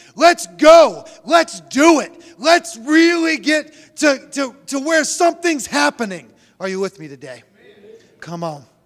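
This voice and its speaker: An animated man speaks at an extremely high pitch. Very wide pitch swings and big swings in loudness run through his speech. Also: fairly slow pace. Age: 40s. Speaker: pastor. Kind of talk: sermon.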